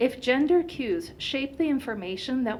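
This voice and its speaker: A high-pitched woman's voice with very wide pitch swings and audible room echo. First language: Turkish. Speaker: company founder and researcher. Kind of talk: conference presentation.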